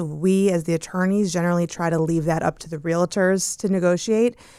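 A woman speaks at a fairly quick pace. She has an unremarkable speaking voice. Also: very clean recording, silent background. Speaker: divorce lawyer. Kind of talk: casual panel discussion.

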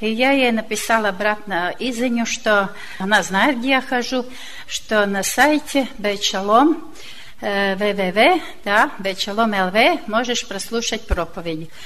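A woman with a fairly high voice and ordinary pitch variation talks very slowly. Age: old. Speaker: church member. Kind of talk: testimony.

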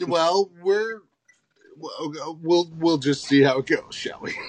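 Using a put-on character voice, a man speaks at a fairly slow pace with a high pitch. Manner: playful, showman-like.

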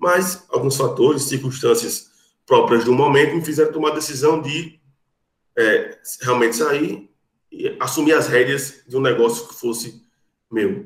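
A somewhat breathy voice at a fairly slow pace, with long, frequent pauses and ordinary pitch variation. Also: man, fairly high pitch for a man. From Brazil, Rio Grande do Norte. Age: 30s. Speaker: lawyer. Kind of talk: podcast interview. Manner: formal.

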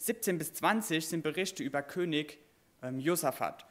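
With a normal speaking voice, a man talks at a fairly slow pace, his fairly high pitch showing ordinary variation. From Westerwald, Germany. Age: 20s. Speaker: preacher, children's camp worker. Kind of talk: sermon.

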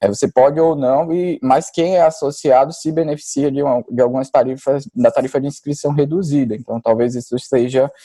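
A man with a fairly high pitch speaks in a dark, mellow tone with ordinary pitch variation. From Brazil, Maceió (Alagoas, Northeast). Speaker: neuroradiologist. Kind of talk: casual interview about exam preparation.

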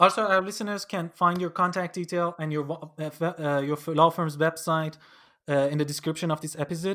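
Over a very clean recording with a silent background, a man talks at a fairly quick pace in a high voice with a bright, sharp tone. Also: fairly even intonation. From Iran. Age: 20s. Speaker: podcast host, law student. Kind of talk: interview. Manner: halting.

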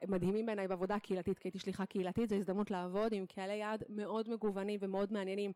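This woman talks at a very fast pace with hardly any pauses. Her tone is dark and mellow, her intonation monotone and flat. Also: medium pitch for a woman. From Israel, Kiryat Ata. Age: 30s. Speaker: former emissary, educator. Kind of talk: interview. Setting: recorded at a conference event.

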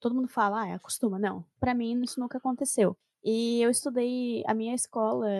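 A dark, mellow tone with ordinary pitch variation at a fairly quick pace, dry and close with no echo. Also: woman. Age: 20s. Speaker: podcast co-host. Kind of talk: casual chat.

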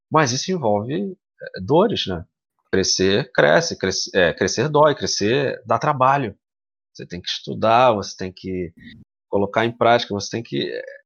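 At a fairly slow pace, a man speaks at a medium pitch with very wide pitch swings, big swings in loudness, and long, frequent pauses. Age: 30s. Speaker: founder of a streamer collective. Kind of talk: podcast interview.

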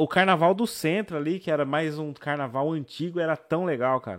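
A man's ordinary speaking voice, lively intonation, moderate pace. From south zone of São Paulo. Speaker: podcast host. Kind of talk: casual chat.

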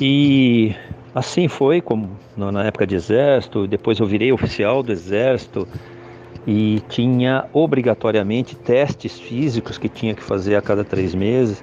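A man speaks at a fairly slow pace with medium pitch. Noticeable background noise runs behind him. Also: ordinary pitch variation. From Brazil, São Paulo city. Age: 60s. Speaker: security consultant, retired army officer. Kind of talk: podcast interview. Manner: halting, many filler hesitations.

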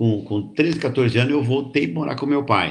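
A man speaks at a fairly slow pace with vocal fry. His pitch varies in an ordinary way. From Brazil, São Paulo state (Barretos region, then Jundiaí). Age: 70s. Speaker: retired cooperative executive and author. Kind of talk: casual interview. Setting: live stream.

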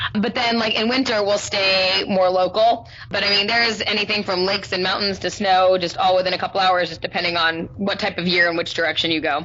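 A woman with an American accent, medium pitch and fairly even intonation, fairly quick with hardly any pauses, over noticeable background noise. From southern California. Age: 30s. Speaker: online high school English teacher. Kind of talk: casual interview chat.

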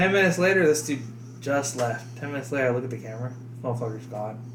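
A man speaks at a very fast pace with medium pitch and ordinary pitch variation, yet leaves long, frequent pauses. Noticeable background noise runs under the recording. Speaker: co-host. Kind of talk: casual banter.

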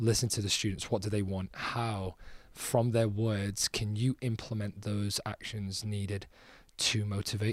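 In a Scouse accent, a man with a fairly low, somewhat breathy voice speaks fairly slowly and with fairly even intonation on a very clean recording with a silent background. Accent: Scouse (Liverpool) English. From Liverpool, England. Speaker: soccer coach and PE teacher. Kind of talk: interview. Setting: conference.

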